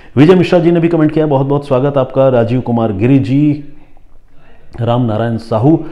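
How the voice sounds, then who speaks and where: A man's dark, mellow tone at a medium pitch, moderate pace and ordinary pitch variation. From Bengali background, India. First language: Bengali (speaking Hindi). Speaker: crime journalist and storyteller host. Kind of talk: crime story narration with viewer comment reading. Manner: conversational, with fillers and self-corrections.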